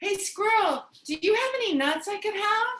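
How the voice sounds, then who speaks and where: A woman uses a squeaky, put-on character voice at an extremely high pitch. Her intonation is lively and her pace moderate. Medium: stage play. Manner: wry, conversational.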